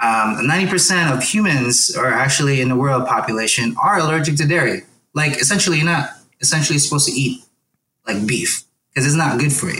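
A man's bright, sharp voice, fairly high in pitch, with ordinary pitch variation and a fairly quick pace. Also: very even loudness. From Philippines. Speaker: chef and podcast host. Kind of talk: casual interview. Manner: animated.

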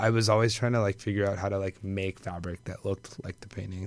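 A man's voice sounds husky and fairly low. He speaks with monotone, flat intonation. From Puerto Rican and Dominican heritage. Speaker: fashion designer. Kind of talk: casual chat. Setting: studio.

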